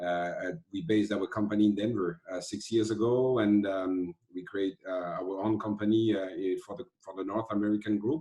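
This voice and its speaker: A man with a French accent, fairly low in pitch, at a moderate pace with hardly any pauses and ordinary pitch variation. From France. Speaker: lighting company executive. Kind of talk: casual online presentation. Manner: halting, many fillers.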